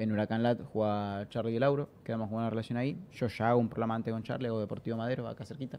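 Talking at a very fast pace with hardly any pauses, the speaker is heard over light background noise. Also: man. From Argentina. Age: 20s. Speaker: streamer and football fan guest; podcast guest. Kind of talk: casual chat. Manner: animated. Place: studio. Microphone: studio mic.

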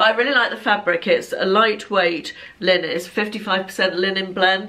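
Amid noticeable background noise, a woman speaks at a medium pitch with fairly even intonation. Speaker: fashion vlogger. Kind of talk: casual chat, clothing haul and try-on. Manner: chatty, conversational.

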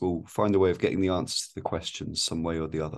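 A man with a fairly low pitch, against a quiet background. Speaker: teacher hosting discussion. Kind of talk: casual interview. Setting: video call. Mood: calm, encouraging. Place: home room. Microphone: video call.

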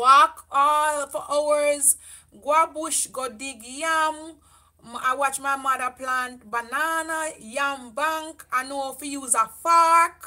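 In a Jamaican accent, a woman with a high pitch and a bright, sharp tone projects a raised voice at a very slow pace. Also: fairly even intonation, quiet background. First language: Jamaican Patois. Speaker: beauty vlogger. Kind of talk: livestream chat. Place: home room. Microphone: camera far.

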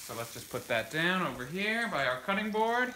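With audible room echo, a man talks at a moderate pace in a high, bright, sharp voice that makes big pitch swings.

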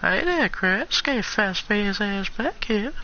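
Someone in a put-on character voice speaks fairly slowly at a fairly high pitch, with clear background noise behind.

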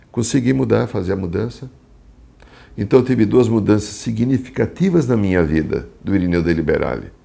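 A man speaks at a moderate pace with a fairly low pitch. His tone is dark and mellow, with vocal fry. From Brazil, São Paulo city. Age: 60s. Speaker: psychologist and shamanic therapist. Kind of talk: talk about his spiritual life path. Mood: calm, reflective. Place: home room. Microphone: lapel.

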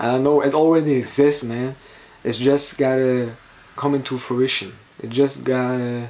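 There is noticeable background noise behind this man. He speaks in a medium pitch with monotone, flat intonation. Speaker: vlogger. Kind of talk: casual vlog monologue. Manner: slow.

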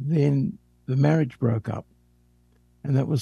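With a dark, mellow tone and a somewhat breathy quality, a man at medium pitch speaks with lively intonation in a dry, close sound with no echo. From Australia, Sydney. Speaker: psychotherapist. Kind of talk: interview.

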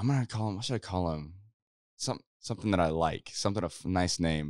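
Lively intonation carries an American accent. The background is quiet and the sound is dry, with no echo. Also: man. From Kansas, rural. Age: 20s. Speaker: YouTuber and musician; YouTuber. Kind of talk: casual chat. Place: studio. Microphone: handheld.

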